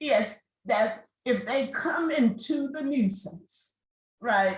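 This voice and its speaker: A woman speaks very slowly in a high voice, her intonation lively. Audible room echo surrounds her. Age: 60s. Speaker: law professor. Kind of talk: panel discussion.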